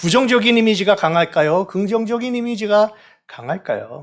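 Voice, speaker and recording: A high-pitched man at a moderate pace, lively in intonation, on a very clean recording with a silent background. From South Korea. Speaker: pastor. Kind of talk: sermon.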